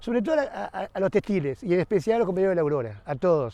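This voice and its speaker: Over a quiet background, a man with a high voice and a dark, mellow tone speaks with lively intonation. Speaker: textile worker. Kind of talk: interview.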